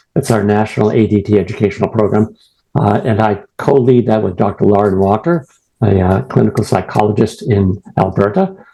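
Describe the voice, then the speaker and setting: Speaking with a Boston accent, a man has a fairly low pitch, a dark, mellow tone and ordinary pitch variation. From New England, US. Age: old. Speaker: retired professor and prostate cancer patient. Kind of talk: presentation. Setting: video call. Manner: fast.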